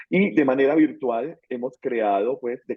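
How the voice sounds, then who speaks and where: A man with a Bogotá accent speaks at a fairly slow pace. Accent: Bogotá Colombian Spanish. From Colombia, Bogotá. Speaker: theology course instructor. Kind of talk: online class introduction. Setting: video call. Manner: hesitant, many fillers.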